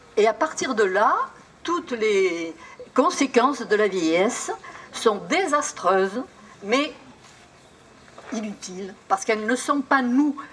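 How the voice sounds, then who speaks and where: A woman speaks very slowly in a fairly high pitch, with very wide pitch swings and long, frequent pauses. Noticeable background noise runs under her voice. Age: 80s+. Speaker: traditional singer. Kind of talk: speech to audience.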